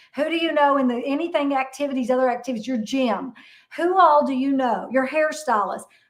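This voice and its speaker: Speaking at a fairly quick pace, a woman with a high pitch and an animated tone uses ordinary pitch variation amid audible room echo. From Kentucky. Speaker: real estate broker and investor. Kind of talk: interview.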